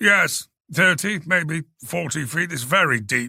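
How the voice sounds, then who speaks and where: A man's put-on character voice, raspy and fairly high-pitched, at a fairly slow pace. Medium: read story. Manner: brusque, irritable.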